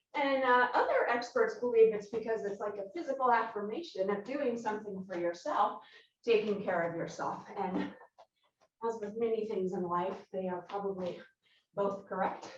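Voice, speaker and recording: Audible room echo surrounds a woman speaking at a moderate pace, her pitch fairly high with ordinary variation. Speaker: Pilates instructor. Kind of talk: workout instruction. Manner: breathy, slightly halting.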